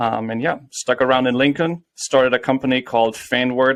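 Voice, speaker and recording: Against a quiet background, a man with a slight German accent speaks at a medium pitch and moderate pace in a dry, close sound with no echo. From Germany (Bayreuth, Bavaria). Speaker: former college tennis player and entrepreneur. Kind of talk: podcast interview.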